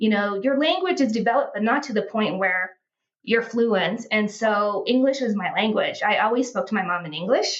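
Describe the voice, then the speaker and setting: With an American accent, a woman speaks in a fairly high, somewhat breathy voice with lively intonation. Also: moderate pace. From United States. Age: 40s. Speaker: healthcare sales professional, traveler. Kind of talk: casual interview, personal story.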